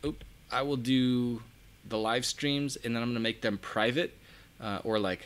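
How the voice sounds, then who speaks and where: A man at medium pitch and moderate pace, with long, frequent pauses. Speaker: custom car lighting installer and online course creator. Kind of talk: casual live stream chat. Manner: animated.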